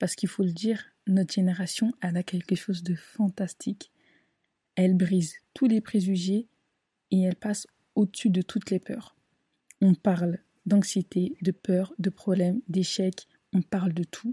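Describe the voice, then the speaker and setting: A woman with a dark, mellow, somewhat breathy tone speaks at a fairly slow pace with fairly even intonation and long, frequent pauses, in a dry, close sound with no echo. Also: medium pitch for a woman. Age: 20s. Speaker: podcast host. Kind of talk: casual monologue.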